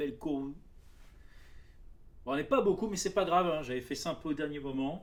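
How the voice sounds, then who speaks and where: A man with a fairly high voice talks at a moderate pace, pitch varying in an ordinary way, with long, frequent pauses. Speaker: card game streamer. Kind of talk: live stream chat. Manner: soft-spoken.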